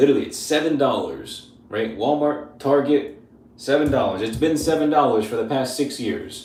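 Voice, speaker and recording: A man speaks at a moderate pace with a fairly high pitch and an animated tone. Audible room echo surrounds his voice. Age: 30s. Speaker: grooming youtuber. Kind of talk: live stream tutorial and Q&A. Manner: casual, animated.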